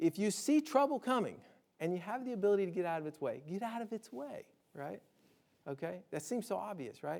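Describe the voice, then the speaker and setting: Using a slight Southern US accent, a high-pitched man sounds animated, his pitch swinging very widely. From US South, Alabama. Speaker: disaster preparedness speaker. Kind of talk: public lecture. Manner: conversational, animated.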